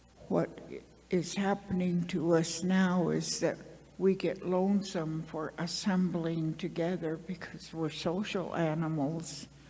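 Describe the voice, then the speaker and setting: A woman's fairly low-pitched voice, monotone and flat, at a fairly slow pace amid noticeable background noise. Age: 80s+. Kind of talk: panel talk, personal story.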